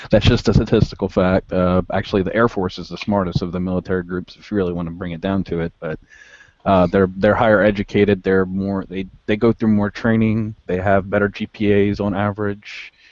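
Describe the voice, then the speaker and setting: A man with a Southern US accent speaks at a fairly low pitch with monotone, flat intonation. His loudness swings widely. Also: fairly quick pace. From US South. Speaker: army veteran. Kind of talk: casual chat.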